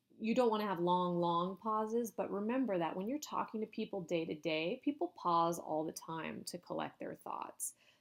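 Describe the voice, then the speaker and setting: A woman with an unremarkable speaking voice talks at a moderate pace with lively intonation, on a very clean recording with a silent background. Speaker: university lecturer. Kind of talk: lecture. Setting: recorded video lecture.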